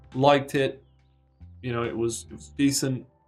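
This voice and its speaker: Over background music, the talking moves along at a moderate pace. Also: man. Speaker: gaming streamer. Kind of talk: casual live stream monologue. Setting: live stream with background music. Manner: casual, halting with false starts.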